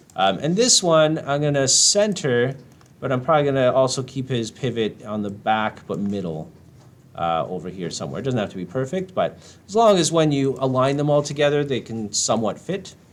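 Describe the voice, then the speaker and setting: A man speaks at a medium pitch with very wide pitch swings. His pace is fairly quick. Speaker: game art instructor. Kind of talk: tutorial. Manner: casual with many fillers; fast.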